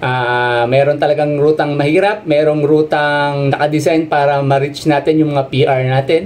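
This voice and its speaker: Moderately paced speech from a man. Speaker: running coach or runner. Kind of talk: presentation talk over slides. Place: home room. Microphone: webcam.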